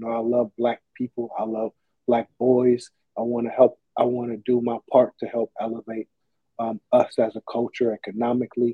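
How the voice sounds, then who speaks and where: This man talks at a moderate pace with a medium pitch and a monotone, flat intonation. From US West Coast, East Oakland, San Francisco Bay Area. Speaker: sportswear business owner. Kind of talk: casual interview.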